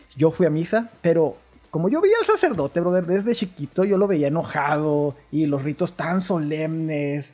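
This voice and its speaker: A man with a northern Mexican accent, fairly high in pitch, at a fairly slow pace with ordinary pitch variation. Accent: northern Mexican (Chihuahua). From rural Chihuahua, northern Mexico. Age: 30s. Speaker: church musician. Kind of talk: casual chat. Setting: at home.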